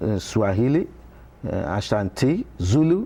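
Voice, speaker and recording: Here a man speaks with a dark, mellow tone. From Nigeria. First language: Yoruba. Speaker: professor. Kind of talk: TV interview. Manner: halting.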